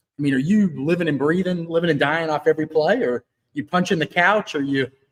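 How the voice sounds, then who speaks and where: The speaker is a man with a fairly high pitch. He talks very fast. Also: ordinary pitch variation. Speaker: sports reporter. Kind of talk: live interview. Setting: live video stream. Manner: loud.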